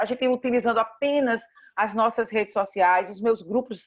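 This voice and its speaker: Fairly quick, fairly high-pitched speech from a woman. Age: 50s. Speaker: state tourism official. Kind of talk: interview. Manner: animated.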